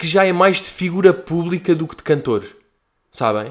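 A man speaks with a high pitch at a moderate pace. The recording is very clean, with a silent background. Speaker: podcast host. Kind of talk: casual solo monologue. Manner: animated.

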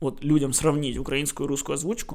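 At a fairly quick pace, a man does the talking. His pitch is fairly high. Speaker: podcast co-host. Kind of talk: casual chat. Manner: animated, joking.

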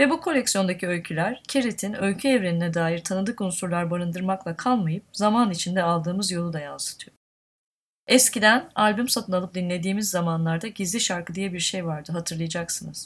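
Somewhat breathy speech moves fairly quickly, with ordinary pitch variation. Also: woman, medium pitch for a woman. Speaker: podcast host and publisher. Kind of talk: interview; scripted narration.

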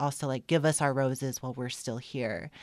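Here a woman speaks with a very deep, low pitch. The recording is very clean, with a silent background. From New Mexico, Albuquerque. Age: 20s. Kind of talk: interview.

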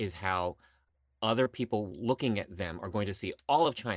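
With ordinary pitch variation, an unremarkable speaking voice proceeds rather slowly. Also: man. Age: 50s. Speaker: stage actor. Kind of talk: casual chat. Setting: remote call.

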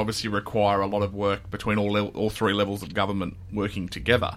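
A man with an Australian accent talks very fast. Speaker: podcast host. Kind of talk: interview for a local news podcast. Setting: radio studio.

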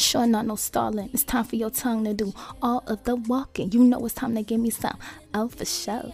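A woman with a fairly high, somewhat breathy voice and a dark, mellow tone speaks at a moderate pace. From US West Coast, South Central Los Angeles. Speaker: podcast host and musician. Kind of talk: casual monologue. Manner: animated.

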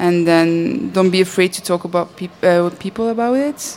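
A woman with a Dutch accent speaks at a moderate pace in a fairly low pitch. Her pitch variation is ordinary, and there is noticeable background noise. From Belgium. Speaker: animator. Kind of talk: panel discussion.

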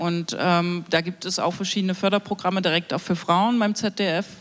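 In a normal speaking voice, a woman with a medium pitch talks at a fairly slow pace with fairly even intonation. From Thuringia, eastern Germany. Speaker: broadcasting council member, queer activist. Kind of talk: panel discussion. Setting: live stage panel broadcast on radio.

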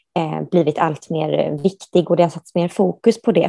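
The recording is dry and close with no echo. A woman speaks fairly low and at a moderate pace, with fairly even intonation. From Sweden, Gothenburg. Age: 30s. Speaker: human rights professional. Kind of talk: interview. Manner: hesitant, many fillers.

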